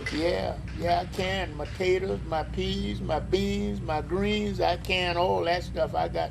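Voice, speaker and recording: A man in an American accent at a very slow pace with hardly any pauses, amid audible room echo. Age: 80s+. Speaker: elderly local resident. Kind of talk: oral history interview. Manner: halting.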